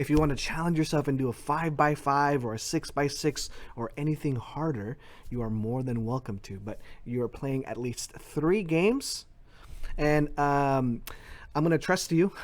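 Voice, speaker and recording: A man speaks in a normal speaking voice. His pitch is fairly high, with ordinary pitch variation. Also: moderate pace. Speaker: schoolteacher. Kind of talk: tutorial.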